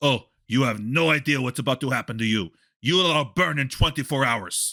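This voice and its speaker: On a very clean recording with a silent background, a man does a raspy put-on character voice at a medium pitch, with ordinary pitch variation and a moderate pace. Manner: threatening.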